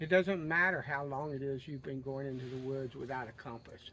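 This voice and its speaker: In a Southern US accent, a man talks at a fairly quick pace with fairly even intonation. His voice is fairly high and has a bright, sharp tone. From US South. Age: 60s. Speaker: outdoorsman video creator. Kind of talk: casual storytelling and advice.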